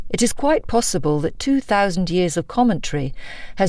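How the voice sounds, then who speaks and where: A woman with a medium pitch speaks at a moderate pace, her voice making very wide pitch swings. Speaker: audiobook narrator. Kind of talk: non-fiction audiobook narration. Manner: engaging, authoritative.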